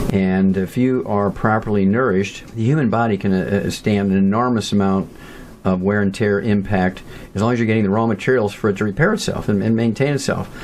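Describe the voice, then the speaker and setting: Over noticeable background noise, a man speaks at a fairly quick pace in a fairly low pitch. His loudness stays very even and his intonation fairly even. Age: 70s. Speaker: nutrition researcher. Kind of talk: interview.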